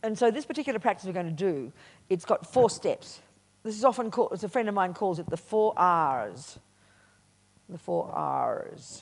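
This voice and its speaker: An animated-toned woman with an Australian accent at a moderate pace, against a quiet background. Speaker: Buddhist nun and teacher. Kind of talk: dharma talk at a retreat. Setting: meditation retreat with audience.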